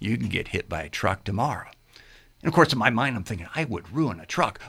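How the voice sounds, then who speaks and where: A man is speaking. His voice has vocal fry. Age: 60s. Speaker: health and fitness coach. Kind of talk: radio interview. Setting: radio studio.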